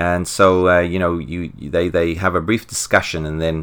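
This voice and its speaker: A man speaks in a very deep, low pitch with a South African accent. He keeps a moderate pace. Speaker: podcast co-host. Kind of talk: casual podcast chat about comics.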